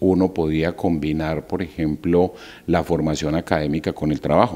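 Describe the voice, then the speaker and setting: At a fairly quick pace, a man speaks with a dark, mellow tone. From Colombia, Valle del Cauca (Barragán, raised in Tuluá); Valle del Cauca, Colombia. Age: 50s. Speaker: university rector. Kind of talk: interview. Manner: halting, frequent fillers. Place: office. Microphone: handheld.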